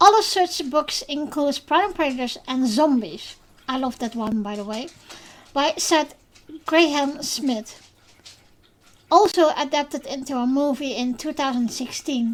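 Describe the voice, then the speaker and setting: A woman with a Dutch accent speaks fairly slowly at a high pitch, her intonation lively. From Netherlands. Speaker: podcast host. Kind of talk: podcast monologue. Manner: scripted reading; halting, many fillers.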